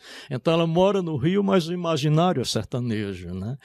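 A man speaks with a northeastern Brazilian accent at a fairly high pitch. His pitch swings very widely, and the sound is dry with no echo. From Brazilian Northeast, Caraúbas, Rio Grande do Norte; Rio Grande do Norte, Brazil. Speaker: literature professor and author; literature professor. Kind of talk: interview talk about his books. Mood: reflective, moved. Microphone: studio mic.

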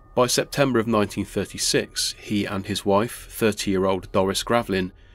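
A man speaks at a fairly low pitch with monotone, flat intonation. Music plays in the background. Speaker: YouTube storyteller. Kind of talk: scripted ghost story narration, eerie and measured. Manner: formal.

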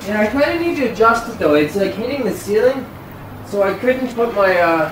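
Fairly quick speech with light background noise and audible room echo. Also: man. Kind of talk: casual conversation. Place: garage. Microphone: camera far.

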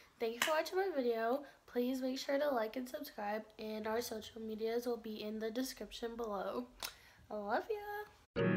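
Music plays in the background as a woman speaks at a moderate pace. Her pitch is high, with ordinary pitch variation. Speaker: beauty vlogger. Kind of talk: casual vlog chat. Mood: giggly, playful. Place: home room. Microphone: phone near.

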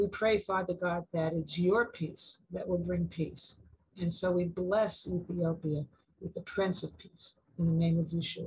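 Fairly low, somewhat breathy woman's voice with monotone, flat intonation against a quiet background. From Uganda. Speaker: prayer leader. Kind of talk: fervent prayer. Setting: video call. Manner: earnest. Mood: calm, earnest, reverent. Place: home room. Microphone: video call.

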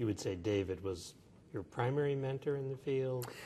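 Over light background noise, a man talks at a moderate pace with a dark, mellow tone and a somewhat breathy quality. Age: 60s. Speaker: neurology professor interviewer. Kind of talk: interview. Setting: medical conference. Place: hall.

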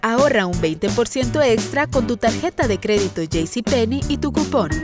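A woman with music in the background. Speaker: voice actor. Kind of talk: TV commercial read.

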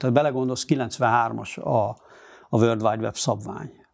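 Over a quiet background, someone talks at a moderate speed. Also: man. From Hungary, Budapest; Hungary. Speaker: journalist and editor-in-chief; interviewee. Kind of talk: interview. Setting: studio. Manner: halting. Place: studio. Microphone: lapel.

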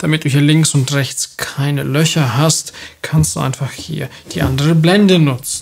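This man speaks at a fairly slow pace. His voice carries a slightly husky edge.

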